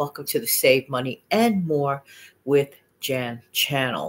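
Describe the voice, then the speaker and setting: Lively intonation from a woman at a moderate pace. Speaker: money-saving channel host. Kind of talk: casual vlog chat. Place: home room. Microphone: webcam.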